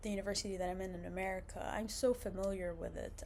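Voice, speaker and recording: A woman with an Arabic accent, medium pitch, amid audible room echo. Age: 20s. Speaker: vlogger, university student. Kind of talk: casual vlog monologue. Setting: indoors, seated on a couch. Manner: casual, many fillers and restarts.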